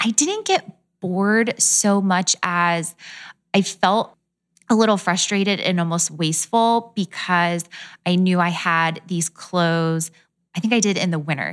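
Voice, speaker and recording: Hers is a normal speaking voice, a woman's at medium pitch, moving at a fairly slow pace with fairly even intonation on a very clean recording with a silent background. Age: 20s. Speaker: fashion blogger.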